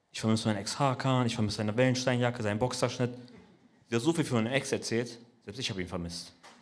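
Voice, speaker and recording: A man talks at a very fast pace and a medium pitch, with ordinary pitch variation. Room echo is audible. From Braunschweig, Kurdish-Turkish family. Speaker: comedian. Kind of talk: stand-up. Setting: stage with audience.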